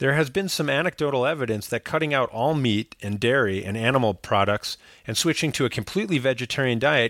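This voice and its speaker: With a plain, everyday voice, a man talks at a fairly quick pace with lively intonation. The recording is very clean, with a silent background and a dry, close sound with no echo. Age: 40s. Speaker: podcast host and doctor. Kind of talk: casual chat.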